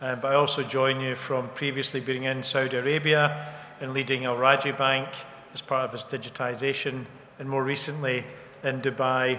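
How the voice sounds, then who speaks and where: In a Scottish accent, the speaker's intonation stays monotone and flat over noticeable background noise. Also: man, medium pitch for a man, moderate pace. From Scotland. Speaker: bank technology executive. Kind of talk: panel introduction.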